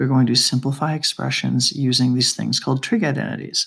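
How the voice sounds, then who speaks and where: Here a man speaks at a medium pitch with vocal fry. His pace is fairly quick, and his pitch variation is ordinary. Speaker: math teacher. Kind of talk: lecture. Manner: soft-spoken, whispery.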